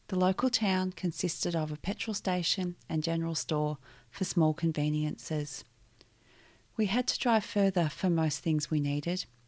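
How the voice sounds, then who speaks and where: A woman with an Australian accent speaks at a fairly low pitch and a moderate pace, with ordinary pitch variation. Her loudness stays very even, and the recording is very clean with a silent background. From Victoria, Australia. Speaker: podcast host sharing her life story. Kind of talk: personal testimony narration.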